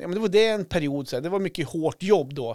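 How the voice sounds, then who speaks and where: Very fast speech comes from a man with a high pitch. The sound is dry and close with no echo, in a very clean recording with a silent background. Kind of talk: casual chat.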